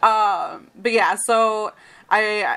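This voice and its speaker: A woman with a Michigan accent in a very clean recording against a silent background. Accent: general American, Michigan. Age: 20s. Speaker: podcast host and site editor. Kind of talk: casual chat.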